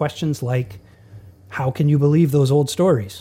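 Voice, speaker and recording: On a very clean recording with a silent background, a man with a dark, mellow tone and a somewhat breathy voice speaks at a moderate pace in a fairly high pitch. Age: 40s. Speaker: pastor. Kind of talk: teaching monologue. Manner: conversational.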